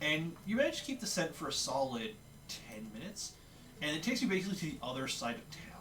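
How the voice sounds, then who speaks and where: Audible room echo and noticeable background noise surround a man speaking at a very fast pace. His fairly high voice swings widely in both pitch and loudness. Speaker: dungeon master. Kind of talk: tabletop role-play narration.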